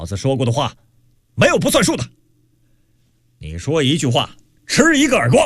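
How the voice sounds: A man's put-on character voice, fairly high-pitched and fairly bright with a slightly husky edge, very wide pitch swings, a moderate pace, and a very clean recording over a silent background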